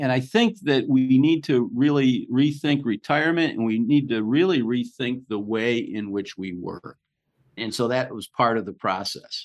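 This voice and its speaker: A man with an ordinary speaking voice talks at a moderate pace and medium pitch. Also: ordinary pitch variation. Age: 60s. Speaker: podcast host. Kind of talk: casual conversation.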